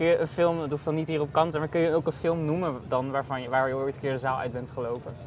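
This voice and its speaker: Hardly pausing, a man talks at a very fast pace with a fairly high pitch. His intonation is fairly even, with noticeable background noise behind him. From Netherlands. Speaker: podcast host, film reporter. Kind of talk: casual interview. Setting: outdoor terrace at festival.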